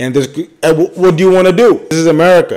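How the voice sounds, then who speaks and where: A man talking at a very fast pace, animated in tone, with lively intonation. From Bangladesh. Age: 20s. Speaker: podcaster and rapper. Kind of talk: casual commentary monologue. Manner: animated, casual slang-heavy.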